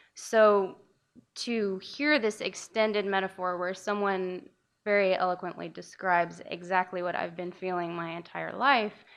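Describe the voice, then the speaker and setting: A soft-spoken woman talks at a fairly slow pace. Her pitch is medium with ordinary variation. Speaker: audience member. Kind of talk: audience comment.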